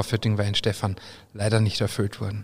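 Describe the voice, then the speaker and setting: A man with a medium-pitched voice. It sounds somewhat breathy. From Austria. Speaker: brewer and brand ambassador. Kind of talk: reading aloud; casual chat.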